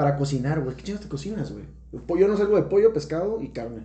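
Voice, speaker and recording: A man's fairly high voice with very wide pitch swings, at a fairly quick pace, with audible room echo. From Tijuana, Mexico. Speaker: podcast guest, businessman. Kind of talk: casual chat.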